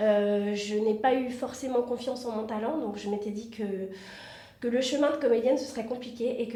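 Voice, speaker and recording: Over noticeable background noise and audible room echo, a woman with a fairly high pitch speaks at a moderate pace with fairly even intonation. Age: 30s. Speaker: reality TV contestant and actress. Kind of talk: interview. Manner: hesitant, many fillers.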